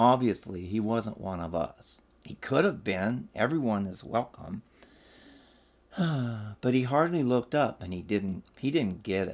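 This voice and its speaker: A man's medium-pitched, unremarkable speaking voice at a fairly slow pace, with lively intonation and big swings in loudness. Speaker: storyteller and blogger. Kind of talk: reflective personal anecdote read from his blog.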